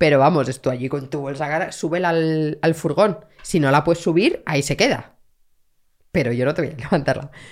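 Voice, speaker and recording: A woman speaks in a central Spanish accent with a very deep, low pitch. Her pace is fairly quick, her pitch varies in an ordinary way, and the recording is very clean with a silent background. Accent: central Spain Spanish. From Madrid, Spain. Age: 40s. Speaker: researcher on youth gangs, former gang member. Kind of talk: interview conversation.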